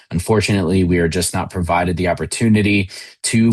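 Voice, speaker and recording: At a fairly quick pace, a man speaks with a very deep, low pitch and fairly even intonation. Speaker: university admissions officer. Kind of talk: online information session presentation. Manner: fast.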